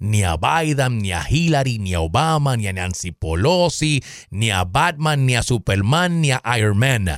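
This man speaks at a fairly slow pace in an animated tone, his pitch swinging very widely. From Puerto Rico, Caguas. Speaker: political podcast host. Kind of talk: political commentary monologue.

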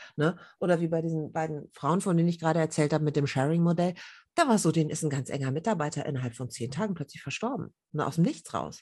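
Against a quiet background, a woman with a very deep, low pitch and a dark, mellow tone talks at a very fast pace with ordinary pitch variation. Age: 40s. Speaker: journalist and women's network founder. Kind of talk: casual interview.

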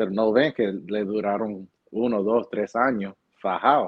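This man has a plain, everyday voice. It sits at a fairly low pitch with fairly even intonation. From New Jersey, Hoboken. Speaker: real estate agent. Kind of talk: interview.

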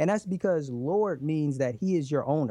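A normal speaking voice from a man, fairly high in pitch, moves at a fairly quick pace with lively intonation over a quiet background. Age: 30s. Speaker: relationship podcast host, guest. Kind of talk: interview.

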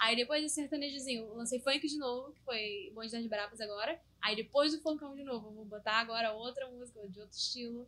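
A woman speaks at a fairly quick pace with hardly any pauses, her high voice bright and sharp. Her loudness swings a lot, while her pitch varies in an ordinary way. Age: 20s. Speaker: funk singer and songwriter. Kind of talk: casual chat.

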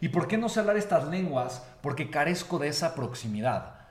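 Through audible room echo and noticeable background noise, a man speaks in an animated tone with lively intonation. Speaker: motivational speaker. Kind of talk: motivational talk.

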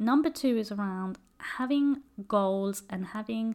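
In a British accent, a woman speaks with ordinary pitch variation. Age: 30s. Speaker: careers advisor and podcast host. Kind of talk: solo advice podcast monologue. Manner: casual, with frequent fillers.

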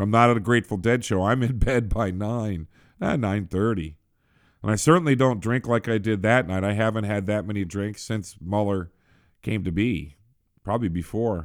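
In a very clean recording with a silent background, a man talks at a moderate pace in a normal speaking voice, fairly low in pitch with ordinary pitch variation. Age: 50s. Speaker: political podcast host. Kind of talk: casual monologue. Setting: small office.

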